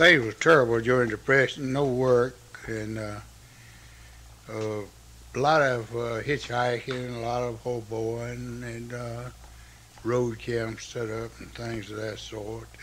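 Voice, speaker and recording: A man with a North Carolina accent speaks very slowly at a medium pitch, flat and monotone, with long, frequent pauses. His loudness swings widely, and the room has audible echo. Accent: Southern US, North Carolina. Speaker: interviewee recalling his life. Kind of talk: oral history interview. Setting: home by a fireplace. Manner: halting, many fillers.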